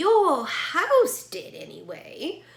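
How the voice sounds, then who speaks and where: A woman uses a put-on character voice at an extremely high pitch with very wide pitch swings. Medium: read story. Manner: calm, gracious.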